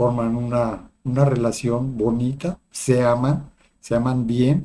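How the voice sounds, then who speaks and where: A man speaks at a medium pitch, somewhat breathy. His tone is dark and mellow. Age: 60s. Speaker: psychologist and spiritual video host. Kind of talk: personal testimony monologue. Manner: hesitant with fillers.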